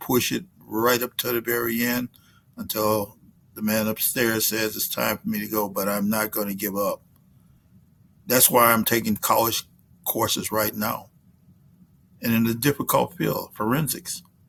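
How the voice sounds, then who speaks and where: Fairly slow and marked by long, frequent pauses, a man's speech has a bright, sharp tone at a medium pitch. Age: 70s. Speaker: semi-pro football coach giving a motivational talk. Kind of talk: motivational speech.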